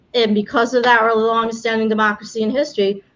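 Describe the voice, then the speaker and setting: This woman speaks with a New York accent. Her voice is fairly high and bright with a sharp tone. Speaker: immigration attorney, game show host. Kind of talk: live-streamed game show. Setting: live stream from home, storm outside. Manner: casual, with filler words and restarts.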